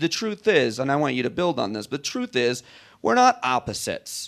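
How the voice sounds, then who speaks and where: Recorded very cleanly against a silent background, a man speaks with very wide pitch swings. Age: 40s. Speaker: comedian and radio host. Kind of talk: onstage interview. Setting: stage with audience.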